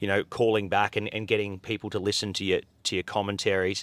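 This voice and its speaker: The recording is very clean, with a silent background and a dry, close sound with no echo. A man speaks fairly quickly with a fairly low pitch and fairly even intonation. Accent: Australian. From Australia. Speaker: horse racing commentator. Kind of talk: interview answer.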